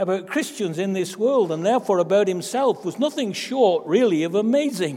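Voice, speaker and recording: A man with an English accent talks at a moderate pace. His voice is high, and his intonation is lively. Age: 80s+. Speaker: pastor. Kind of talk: sermon. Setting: church.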